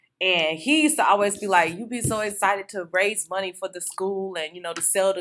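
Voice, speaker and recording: Bright and sharp in tone, a woman speaks at a fairly quick pace with a medium pitch and ordinary pitch variation. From Miami, Florida. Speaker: entrepreneur and social media consultant. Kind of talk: interview.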